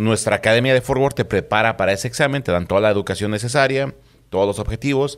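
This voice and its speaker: A man with ordinary pitch variation, quiet background behind him. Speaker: police officer; guest. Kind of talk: casual chat. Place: studio. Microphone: studio mic.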